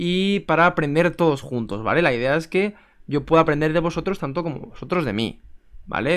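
A man with an ordinary speaking voice talks at a fairly quick pace and ordinary pitch variation over a quiet background. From Spain. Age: 20s. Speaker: chess YouTuber. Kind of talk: casual vlog to camera. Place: home room. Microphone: webcam.

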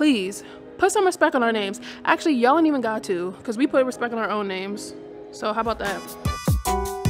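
A woman talks at a fairly quick pace as clear music plays in the background. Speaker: travel vlogger. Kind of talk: casual vlog chat. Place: hall. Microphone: phone near.

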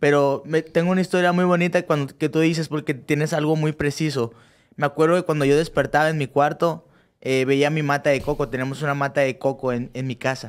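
A man with a Mexican accent, fairly high pitch, fairly even intonation and a fairly quick pace. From Mexico (Cancún); Mexico. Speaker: professional boxer; guest. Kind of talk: casual interview. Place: studio. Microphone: studio mic.

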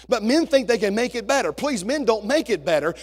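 A man speaks in an animated tone with lively intonation. Music plays in the background. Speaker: senior pastor. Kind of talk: sermon to congregation, warm and humorous. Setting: church. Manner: animated, conversational, jokes with the congregation; earnest, preacherly, asks for amens. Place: church.

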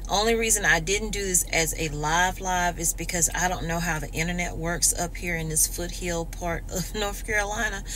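Light background noise accompanies a woman talking at a moderate pace. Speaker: vlogger. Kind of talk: casual vlog chat. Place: car. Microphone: phone near.

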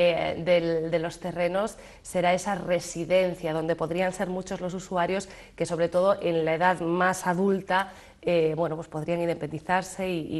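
A woman speaks with a fairly low pitch and monotone, flat intonation. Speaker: TV presenter. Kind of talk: TV interview show. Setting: TV studio. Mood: friendly, smiling. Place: studio.

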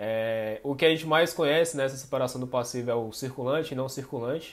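A man at a medium pitch talks at a fairly quick pace with fairly even intonation. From Brazil. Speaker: finance co-host. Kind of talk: educational Q&A podcast. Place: home room.

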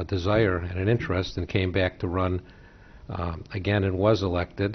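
A man with an American accent, a very deep, low pitch, a somewhat breathy voice, a fairly quick pace and monotone, flat intonation. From Chicago. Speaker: school board member, candidate; candidate. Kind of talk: candidate forum answers. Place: meeting room. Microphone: podium.

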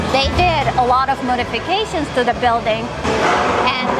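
There is music in the background as a woman speaks. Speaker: travel vlogger. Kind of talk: casual vlog chat. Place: market. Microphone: phone near.

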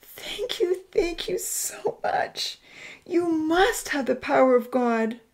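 Using a put-on character voice, a woman speaks slowly at a high pitch with lively intonation.

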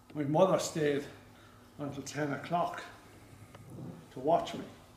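In an Irish accent, a somewhat breathy man talks at a fairly slow pace in a fairly high pitch with monotone, flat intonation, with audible room echo and light background noise. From Ireland. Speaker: stuttering awareness campaigner. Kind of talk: public speech. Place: hall.

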